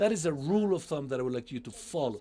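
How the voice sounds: A man talks at a fast pace with lively intonation. His fairly high voice has a dark, mellow tone.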